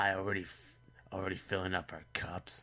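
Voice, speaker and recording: A man does a put-on character voice, raspy and with a very deep, low pitch. He speaks at a fairly quick pace in a monotone, flat intonation. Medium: read story. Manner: awkward, overly eager politeness.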